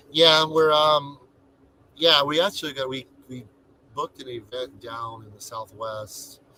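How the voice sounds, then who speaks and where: Pausing long and often at a fairly slow pace, a man with a fairly high voice shows big swings in loudness against noticeable background noise. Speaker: travel vlogger. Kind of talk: live stream chat. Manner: monotone; soft-spoken.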